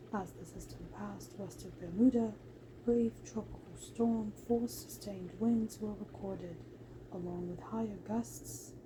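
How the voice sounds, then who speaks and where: A soft-spoken woman at a moderate pace, with noticeable background noise. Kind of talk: ASMR sleep reading.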